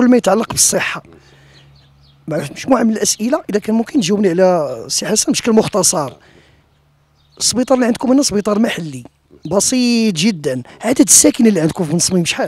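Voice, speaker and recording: Lively intonation runs through a fairly quick delivery. The sound is dry, with no echo. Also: man, high pitch for a man. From Morocco. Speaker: web TV reporter. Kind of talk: interview. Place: garden. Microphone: handheld.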